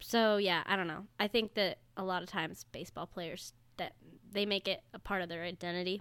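A woman speaks at a fairly quick pace with fairly even intonation on a very clean recording with a silent background. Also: medium pitch for a woman. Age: 20s. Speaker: podcast guest. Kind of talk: casual chat. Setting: studio. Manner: talkative.

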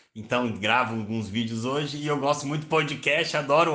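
Audible room echo surrounds a man speaking at a moderate pace. His tone is bright and sharp, his intonation fairly even. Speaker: journalist and psychoanalytic therapist. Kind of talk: solo podcast monologue. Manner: hesitant with repetitions.

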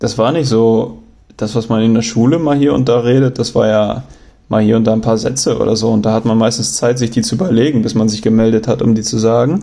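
Loudness stays very even as the speaker moves at a fairly quick pace with ordinary pitch variation. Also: man, medium pitch for a man. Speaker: travel podcaster. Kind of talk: casual storytelling monologue. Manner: hesitant, many fillers.

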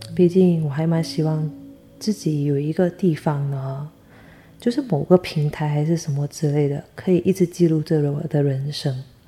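Quiet and very deep in pitch, a woman speaks at a moderate pace with fairly even intonation. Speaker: podcaster. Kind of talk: casual solo monologue. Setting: alone at home late at night. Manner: quiet, subdued.

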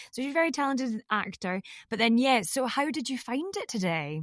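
A woman speaks in a high voice. The sound is dry and close, with no echo. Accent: Scottish. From Scotland. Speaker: podcast host, voiceover actor. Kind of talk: casual interview.

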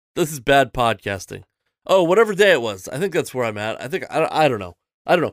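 Recorded very cleanly against a silent background, a man with an American accent swings very widely in pitch, the sound dry and close with no echo. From Seattle, US Pacific Northwest. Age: 30s. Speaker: podcast host and comedian. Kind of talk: casual chat.

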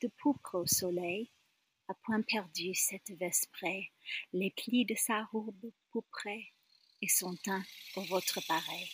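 Somewhat breathy, a woman talks at a very slow pace with ordinary pitch variation. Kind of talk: poem reading. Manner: slow, deliberate, wistful; expressive, emphatic repetition.

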